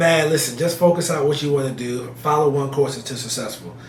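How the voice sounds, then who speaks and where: A man with an American accent, with audible room echo and noticeable background noise. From New Jersey (Elizabeth, north Jersey). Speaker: real estate investor. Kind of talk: interview. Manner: animated.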